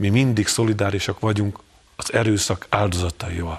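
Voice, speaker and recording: With an animated tone, a man talks at a moderate speed. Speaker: journalist. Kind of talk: panel discussion.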